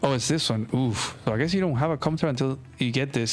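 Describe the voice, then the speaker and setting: A man speaks with a non-native accent and ordinary pitch variation. Noticeable background noise runs behind him. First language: not English. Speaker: strategy game streamer. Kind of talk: live game commentary and match review. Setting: live stream. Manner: casual, relaxed.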